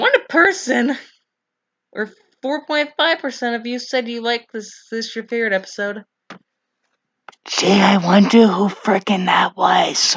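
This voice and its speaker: With lively intonation and a fairly high pitch, a woman speaks fairly slowly, leaving long, frequent pauses. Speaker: YouTuber ranking game show episodes. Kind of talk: casual commentary video.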